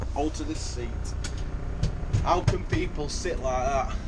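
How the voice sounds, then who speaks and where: Loud background noise behind a man talking fairly slowly. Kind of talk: casual vlog chat. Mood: wistful, last day at job. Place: bus. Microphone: phone near.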